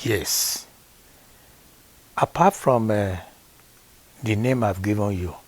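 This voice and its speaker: In a Nigerian accent, a man speaks at a very slow pace with a fairly low pitch. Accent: Nigerian (Yoruba) English. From Nigeria, Osun State (Yoruba). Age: 70s. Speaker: grandfather being interviewed. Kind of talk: family interview. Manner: formal.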